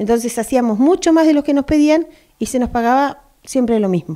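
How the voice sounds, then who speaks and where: A woman talks at a fairly quick pace in a high voice with a dark, mellow tone. The background is quiet. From Argentina. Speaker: union delegate for school support staff. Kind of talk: interview. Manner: animated. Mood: indignant, critical. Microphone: handheld.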